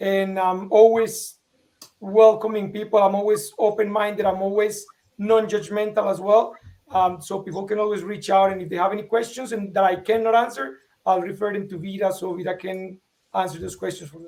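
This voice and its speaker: In a Spanish accent, the speaker goes at a fairly quick pace with fairly even intonation and big swings in loudness. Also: man, high pitch for a man. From Colombia. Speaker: vestibular patient and online show host. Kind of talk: panel interview.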